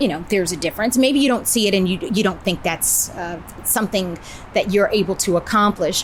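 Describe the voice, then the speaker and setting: Over noticeable background noise, the voice runs at a fairly quick pace with ordinary pitch variation. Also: woman, medium pitch for a woman. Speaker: actress, voiceover artist, and host. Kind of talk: interview answer.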